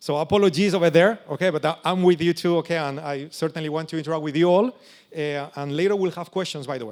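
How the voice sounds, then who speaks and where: Over a silent background on a very clean recording, a man speaks at a very fast pace with a fairly high pitch and ordinary pitch variation. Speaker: options trading educator. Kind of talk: seminar presentation. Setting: stage with audience.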